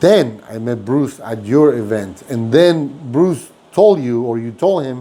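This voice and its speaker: With a Mexican accent, a man talks at a fairly slow pace in a dark, mellow tone with lively intonation. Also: medium pitch for a man. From Mexico. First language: Spanish. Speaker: restaurant owner and podcast host. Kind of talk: casual interview chat. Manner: animated storytelling.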